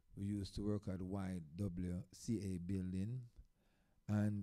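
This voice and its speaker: A man speaks in a Jamaican accent. His tone is dark and mellow. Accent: Jamaican patois-inflected English. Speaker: dub poet. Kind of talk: live-stream performance talk.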